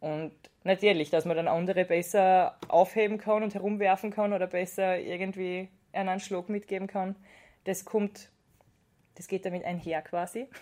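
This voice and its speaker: Her tone dark and mellow, a woman speaks at medium pitch and a moderate pace in a monotone, flat intonation. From Austria, Styria (Judenburg). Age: 20s. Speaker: wrestler and pharmaceutical scientist. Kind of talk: interview.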